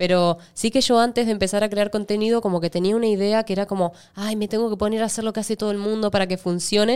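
A woman at a very fast pace, with fairly even intonation. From Argentina. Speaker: actress. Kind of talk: casual interview.

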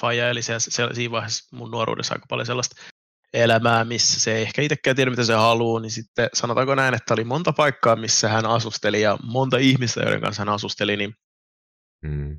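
Speaking at a very fast pace, a man lets vocal fry creep into his words. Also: medium pitch for a man, ordinary pitch variation. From Finland. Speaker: YouTuber. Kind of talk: casual chat.

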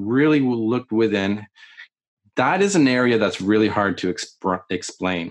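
Talking fairly slowly in a Canadian accent, a man with an unremarkable speaking voice keeps a medium pitch and lively intonation. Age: 40s. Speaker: military videographer and meditation teacher. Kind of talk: casual interview chat.

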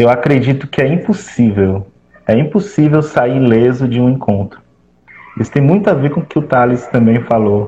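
Lively intonation marks this man's normal speaking voice. He keeps a moderate pace and very even loudness. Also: medium pitch for a man. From Fortaleza periphery, Ceará, Brazil. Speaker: graduate student and activist. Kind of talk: discussion panel.

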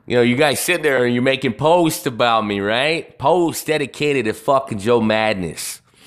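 At a moderate pace and with hardly any pauses, a man speaks at medium pitch with ordinary pitch variation. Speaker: podcast host. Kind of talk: casual live-stream talk. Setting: live stream. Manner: profane and animated.

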